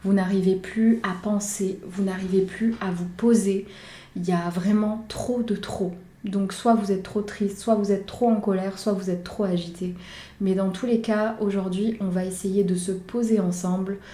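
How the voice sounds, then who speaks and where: Calm and somewhat breathy, a woman speaks fairly slowly at medium pitch in a dark, mellow tone with monotone, flat intonation. Audible room echo surrounds her voice. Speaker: meditation guide and YouTuber. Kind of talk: guided meditation; casual intro to camera. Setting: outdoors. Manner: soft-spoken, calm.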